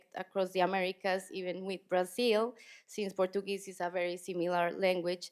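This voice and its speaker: A woman speaks with a Spanish accent. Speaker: poet. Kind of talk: panel conversation.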